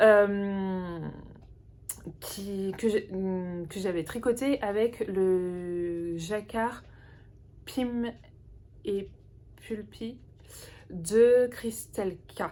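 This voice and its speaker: Her voice is medium in pitch with a dark, mellow tone and ordinary pitch variation. This woman speaks at a very slow pace, with long, frequent pauses. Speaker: knitting podcaster. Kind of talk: casual chat. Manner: halting.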